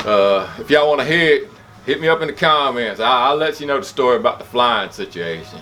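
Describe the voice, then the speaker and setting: Over noticeable background noise and audible room echo, a man with a South Carolina accent talks fairly quickly at a fairly high pitch, his pitch swinging very widely. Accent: Southern US (South Carolina). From South Carolina, US South. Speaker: vlogger. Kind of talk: casual chat. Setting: home gym. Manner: animated.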